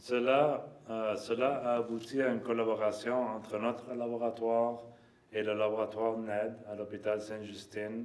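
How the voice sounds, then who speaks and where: A man with a non-native accent at a very slow pace, with audible room echo and noticeable background noise. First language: not French (speaking French). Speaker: lab director and professor. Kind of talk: conference opening remarks. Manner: halting, many fillers.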